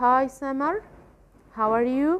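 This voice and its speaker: This is a woman speaking with a high pitch. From Egypt. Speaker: English teacher. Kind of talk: tutorial. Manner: hesitant with filler sounds.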